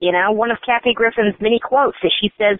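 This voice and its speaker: A woman with an American accent speaks at a very fast pace in a medium pitch. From Oklahoma. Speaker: online political media co-founder. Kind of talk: casual interview.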